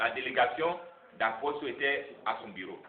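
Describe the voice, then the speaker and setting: His intonation is lively. This man talks very slowly. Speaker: NGO president. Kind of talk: public speech. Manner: halting.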